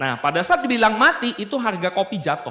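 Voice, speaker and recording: A man's bright, sharp tone comes through as he talks at a moderate pace. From Indonesia, South Sumatra (Baturaja). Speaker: business motivational speaker. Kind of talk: seminar talk. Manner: casual, joking.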